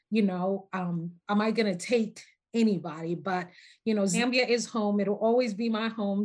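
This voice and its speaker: In a very clean recording with a silent background, a woman talks at medium pitch and a moderate pace with fairly even intonation. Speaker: podcast guest, researcher. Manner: warm, conversational, frequent filler phrases.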